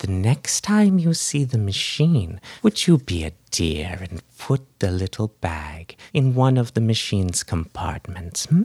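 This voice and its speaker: A put-on character voice, low in pitch and fairly slow in pace, on a very clean recording with a silent background. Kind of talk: grandmotherly menace. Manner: sweet, wheedling, sinister.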